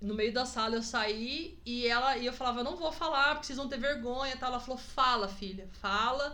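Speaking at a moderate pace with hardly any pauses, a woman uses a high pitch with ordinary variation, over noticeable background noise and audible room echo. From Presidente Prudente, interior of São Paulo state, Brazil. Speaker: podcast guest, host's wife. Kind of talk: casual chat. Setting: in-person recording at home. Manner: talkative.

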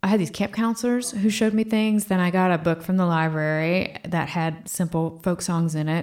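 In an American accent, a woman with a normal speaking voice talks in a fairly low pitch with ordinary pitch variation, very even loudness and hardly any pauses, on a very clean recording with a silent background. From Virginia, US (Fredericksburg, near DC). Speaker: guitarist and musician. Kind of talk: casual interview chat.

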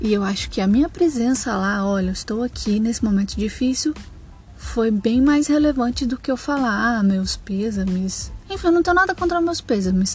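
Over music in the background, a woman with a fairly high pitch speaks at a moderate pace, her pitch swinging very widely. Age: 20s. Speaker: podcaster. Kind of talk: solo monologue. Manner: hesitant, many fillers.

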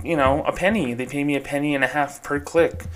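A man speaks at medium pitch with ordinary pitch variation and a moderate pace. He has a plain, everyday voice. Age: 30s. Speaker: podcast host, former bank employee. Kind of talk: solo podcast monologue. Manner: casual, conversational with fillers.

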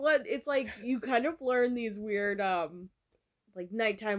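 Here is a woman with a plain, everyday voice and an American accent. She sits fairly high in pitch and uses lively intonation. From Massachusetts. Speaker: podcast co-host. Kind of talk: casual chat.

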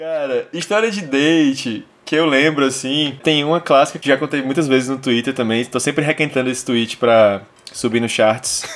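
With a fairly high pitch and ordinary pitch variation, a man talks at a moderate pace. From Brazil, Fortaleza (Ceará). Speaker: podcast host. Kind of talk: casual chat. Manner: animated.

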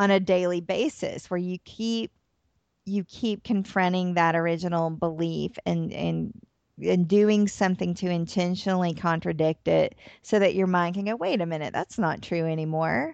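Fairly low in pitch, a woman with an American accent and a plain, everyday voice talks with fairly even intonation. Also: moderate pace. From US South, Atlanta, Georgia. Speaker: therapist and author. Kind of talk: interview.

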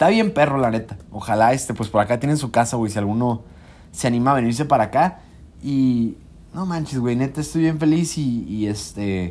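With an unremarkable speaking voice at a medium pitch, a man talks at a fairly quick pace with lively intonation. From Mexico. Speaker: doctor. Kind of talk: casual chat. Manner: casual, laughing.

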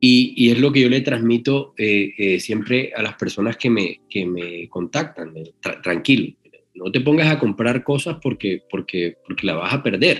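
A man at medium pitch with lively intonation, a fairly slow pace and hardly any pauses. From Colombia, Caribbean coast (Magdalena). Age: 40s. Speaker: anesthesiologist, sedation specialist. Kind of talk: interview. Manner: halting, many repetitions and fillers.

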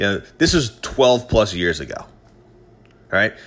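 Fairly low and touched with vocal fry, a man's voice has lively intonation and an animated tone at a moderate pace. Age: 30s. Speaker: podcast host. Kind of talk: casual solo monologue.

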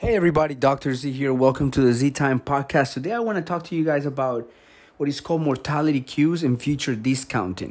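A man with a Spanish accent, fairly high-pitched, talking at a very fast pace with ordinary pitch variation, on a very clean recording with a silent background. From Colombia. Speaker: health podcaster. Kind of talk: solo talk. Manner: conversational, filler-heavy.

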